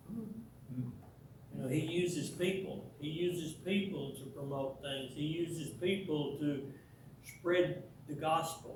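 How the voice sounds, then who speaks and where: With audible room echo, a man with an American accent speaks at a very slow pace and a fairly high pitch, with ordinary pitch variation. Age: 80s+. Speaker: church teacher. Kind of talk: church talk / lecture. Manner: halting, many repetitions.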